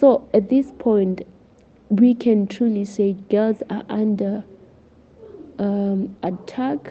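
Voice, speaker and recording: A woman's somewhat breathy, medium-pitched voice at a very slow pace, with fairly even intonation and long, frequent pauses. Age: 20s. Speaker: journalist and student. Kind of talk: podcast interview.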